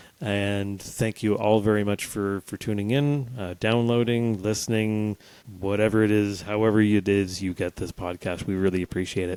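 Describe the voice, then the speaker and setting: Here is a man with a Canadian accent and a normal speaking voice, pitched fairly low. He talks at a moderate pace with fairly even intonation, and the sound is dry and close with no echo. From Canada. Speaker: podcast co-host. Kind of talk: casual chat.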